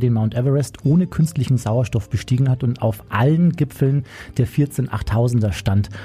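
Somewhat breathy, a man speaks at a medium pitch. His pace is fairly quick and his pitch variation ordinary. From Bavaria, Chiemgau. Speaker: radio host. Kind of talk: casual chat.

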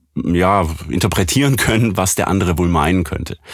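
A man speaks at a moderate pace with a slight Swabian accent. His pitch varies in an ordinary way. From Swabia, southwest Germany. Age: 30s. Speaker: professional voice actor and audio engineer. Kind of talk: casual interview.

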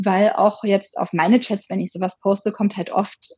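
A woman's somewhat breathy, medium-pitched voice carries along at a moderate pace. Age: 30s. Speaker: sex blogger. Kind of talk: casual interview.

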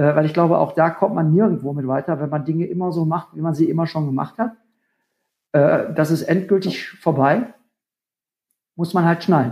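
A man with a dark, mellow tone speaks at a moderate pace, leaving long, frequent pauses. His pitch is fairly high, with ordinary variation. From Ruhr area, Germany. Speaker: rock musician and mayoral candidate. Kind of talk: casual interview.

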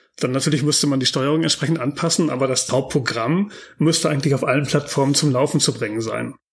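At a very fast pace, a man talks in a somewhat breathy voice with a fairly high pitch and ordinary pitch variation. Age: 40s. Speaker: game developer and architectural visualizer. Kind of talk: interview. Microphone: poor microphone quality.

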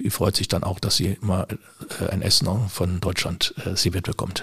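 Moderate pace and fairly even intonation from a male voice pitched fairly low. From Germany, Düsseldorf. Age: 60s. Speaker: shooting club official and civil servant. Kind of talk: interview. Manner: hesitant with frequent fillers.

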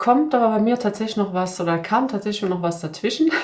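A woman's voice with lively intonation. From Sweden. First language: Swedish (bilingual with German) (speaking German). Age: 40s. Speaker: job application coach. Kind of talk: interview.

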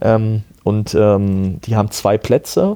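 A man's fairly low, dark, mellow voice with fairly even intonation. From Germany, Ruhr area (Herdecke). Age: 30s. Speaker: amateur tennis player and former umpire. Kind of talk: casual interview.

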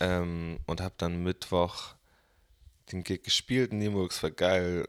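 Very deep and low in pitch, a man speaks at a very slow pace with long, frequent pauses. The sound is dry and close with no echo. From northern Germany, Bremen. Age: 20s. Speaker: musician. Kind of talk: casual interview chat.

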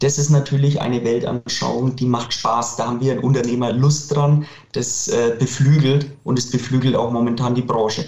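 The speech moves at a moderate pace in a monotone, flat intonation over noticeable background noise. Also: man, medium pitch for a man. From Franconia, Bavaria (near Nuremberg). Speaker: clothing manufacturer, company director. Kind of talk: interview.

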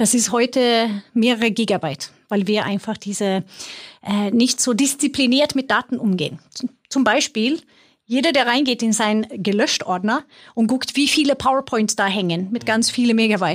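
In a very clean recording with a silent background, a woman with a Swedish accent and a fairly high pitch talks at a moderate pace, with very even loudness and ordinary pitch variation. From Sweden. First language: Swedish (speaking German). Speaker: IT executive. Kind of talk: interview. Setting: studio.

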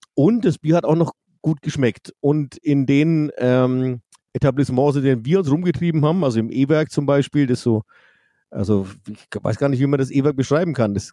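Fairly high for a man, his voice has a dark, mellow tone, ordinary pitch variation and a moderate pace, recorded dry and close with no echo. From Franconia, Bavaria, Germany. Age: 50s. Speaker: rock band singer. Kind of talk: casual chat. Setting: video call.

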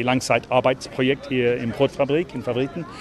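Noticeable background noise sits behind this man. He talks at a moderate pace with a medium pitch. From England (London and Leeds), Irish parents. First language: English (speaking German). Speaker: urbanist and city walk guide. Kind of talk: casual interview during a walk. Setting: outdoors, walking through the city. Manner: halting, repeats words.

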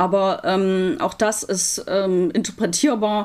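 A woman speaks in a medium pitch with fairly even intonation. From Germany, Leipzig (Saxony). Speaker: rabbi. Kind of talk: interview. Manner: hesitant, many fillers.

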